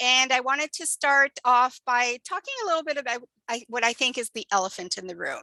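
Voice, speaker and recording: A woman with a Canadian accent and a raised, projected voice, high in pitch with ordinary pitch variation, at a moderate pace, in a dry, close sound with no echo. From Canada. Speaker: program coordinator hosting an info session. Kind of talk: online info session presentation. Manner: casual with frequent fillers.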